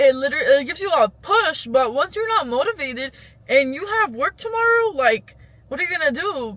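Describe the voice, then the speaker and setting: A woman speaks at a fairly quick pace in a high voice with very wide pitch swings, over noticeable background noise. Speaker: lifestyle vlogger. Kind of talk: casual advice vlog. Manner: rambling, conversational.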